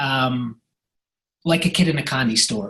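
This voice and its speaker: In a Scottish accent, a man speaks at a fairly slow pace. His pitch varies in an ordinary way. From Scotland. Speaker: real estate agent. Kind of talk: podcast interview.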